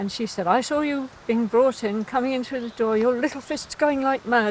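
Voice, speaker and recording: With an English accent, this speaker keeps to a moderate pace. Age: 70s. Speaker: park bench stranger. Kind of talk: casual chat. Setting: outdoors.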